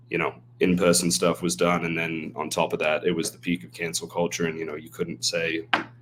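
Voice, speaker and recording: A man speaks with an American accent. His voice is very deep and low, and his pace is fairly quick. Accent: often mistaken for Australian. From half English, half American. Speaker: email marketer and stand-up comedian. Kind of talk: podcast interview. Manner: animated.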